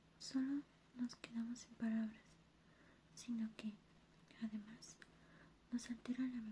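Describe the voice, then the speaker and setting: The voice is whispering and soft-spoken. It moves at a fairly slow pace. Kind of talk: ASMR soft-spoken reading of a book passage. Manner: soft-spoken, whispery.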